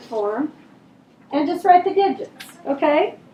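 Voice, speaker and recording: With noticeable background noise behind her, a woman speaks at a moderate pace with very wide pitch swings. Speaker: elementary school teacher. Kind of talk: classroom review lesson. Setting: classroom. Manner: loud.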